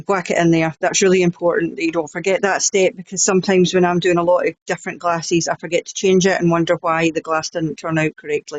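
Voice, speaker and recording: Someone talks at a very fast pace in a Scottish accent. There are hardly any pauses. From Scotland. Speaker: crafter, laser engraving YouTuber. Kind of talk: tutorial.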